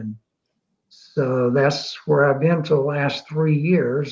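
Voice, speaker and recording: A somewhat breathy man's voice, fairly high in pitch, with ordinary pitch variation at a very slow pace. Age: 70s. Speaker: retired business school dean, blogger. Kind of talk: interview on live online show. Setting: live online video show.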